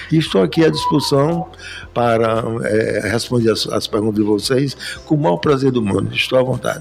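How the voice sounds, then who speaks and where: A man with a medium pitch speaks with lively intonation while music plays in the background. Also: moderate pace. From Paraíba, Brazil. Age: 80s+. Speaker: retired banker and business association leader. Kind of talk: interview.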